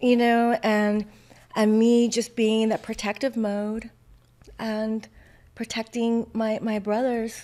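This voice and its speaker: Monotone, flat intonation marks this speech, delivered at a very slow pace. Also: woman, fairly high pitch for a woman. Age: 50s. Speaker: guest sharing childhood divorce experience. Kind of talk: personal testimony in conversation. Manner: halting, many fillers.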